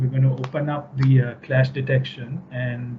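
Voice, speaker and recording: A somewhat breathy male voice with fairly even intonation. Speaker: software product presenter. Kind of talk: webinar software demo. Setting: online webinar with screen share. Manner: fast.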